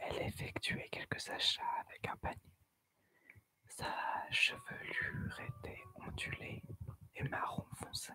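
A woman whispering at a very slow pace, with long, frequent pauses. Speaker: ASMR storyteller. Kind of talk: horror story narration. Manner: soft-spoken. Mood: eerie, suspenseful. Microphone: studio mic.

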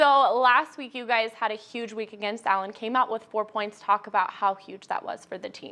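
A woman speaks at a moderate pace with hardly any pauses. Her loudness swings widely while her pitch varies in an ordinary way. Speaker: sports team reporter and interviewer. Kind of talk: casual interview.

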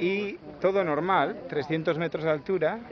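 A man with a high pitch and fairly even intonation speaks at a fairly slow pace in a dry recording with no echo and light background noise. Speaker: family member filming. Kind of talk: casual talk to camera, amused interviewer. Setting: outdoors at a tourist site. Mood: relaxed, amused. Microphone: phone near.

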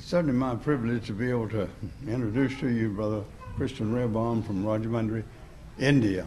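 Fairly quick pace, fairly even intonation, and light background noise. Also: man. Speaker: preacher. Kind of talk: speaker introduction. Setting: church. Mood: warm, respectful. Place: church. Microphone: podium.

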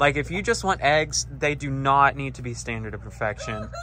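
The speaker talks at a moderate pace against light background noise. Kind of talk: casual vlog chat. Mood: enthusiastic, relaxed. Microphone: phone near.

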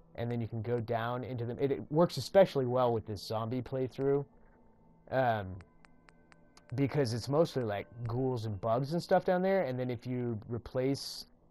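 Music plays behind a man who speaks with ordinary pitch variation. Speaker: gaming tutorial creator. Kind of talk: casual gaming tutorial narration. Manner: mumbling, rambling.

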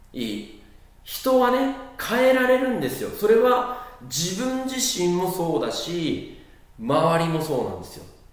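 In a room with audible echo, a man talks at a fairly slow pace and a high pitch, with very wide pitch swings and big swings in loudness. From Japan. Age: 30s. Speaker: social studies teacher, former junior high teacher. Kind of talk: lecture. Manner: casual, filler-heavy. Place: classroom.

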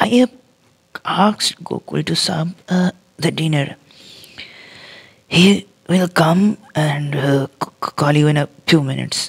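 A gruff put-on character voice at a middle pitch talks at a fairly slow pace with long, frequent pauses.

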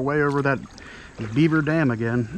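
Light background noise runs under a man speaking with fairly even intonation in a dry sound with no echo. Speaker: kayak angler vlogger. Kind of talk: casual vlog chat. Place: waterside. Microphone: phone near.

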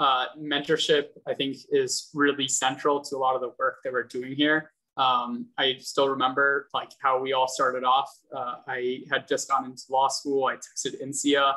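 A man speaks at a fairly slow pace with hardly any pauses, his bright, sharp tone held in a monotone, flat intonation against a quiet background. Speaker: vice chair of mentorship at a bar association. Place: home room. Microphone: video call.

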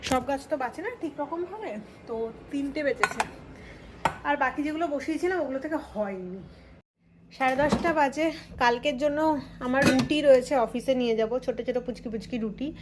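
A woman with a high voice and ordinary pitch variation speaks over noticeable background noise. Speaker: lifestyle vlogger. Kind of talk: casual vlog narration. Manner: chatty.

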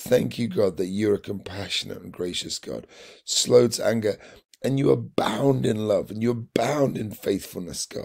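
In a British accent, a man talks with a warm tone and ordinary pitch variation. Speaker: church devotional leader. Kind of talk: devotional with fervent prayer. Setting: online video. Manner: earnest, repetitive, fervent; warm, encouraging.

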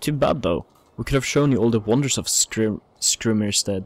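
A plain, everyday voice from a man, fairly low in pitch, at a moderate pace. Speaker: gaming YouTuber. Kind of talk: let's play commentary with read-aloud game dialogue. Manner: casual, chatty, dryly amused.

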